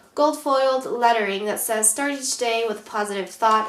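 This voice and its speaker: A woman is speaking. Room echo is audible, and there is noticeable background noise. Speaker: planner vlogger. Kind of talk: tutorial. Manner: hesitant, many fillers.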